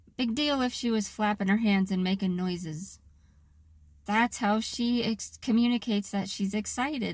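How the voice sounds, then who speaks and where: In a very clean recording with a silent background, a woman speaks with an American accent at a moderate pace. Her somewhat breathy voice has a medium pitch and ordinary pitch variation. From US Pacific Northwest, Seattle area. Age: 30s. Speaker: vlogger. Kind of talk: personal vlog monologue. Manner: unusual tone and cadence; halting.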